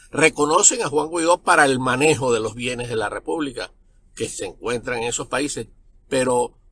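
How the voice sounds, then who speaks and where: A man's bright, sharp tone in a dry sound with no echo. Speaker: political commentator. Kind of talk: political commentary. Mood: critical, earnest. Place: car. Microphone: phone near.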